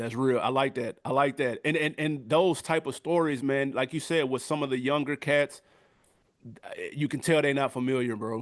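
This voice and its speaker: With an American accent, a man talks at a moderate pace in an unremarkable speaking voice, fairly high in pitch, with fairly even intonation and a quiet background. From US South. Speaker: music review YouTuber. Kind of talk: casual interview chat.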